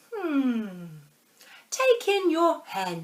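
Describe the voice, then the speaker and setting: Here is a put-on character voice. It swings very widely in pitch. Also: woman, extremely high pitch for a woman. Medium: read story. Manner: calm, deliberate, musing.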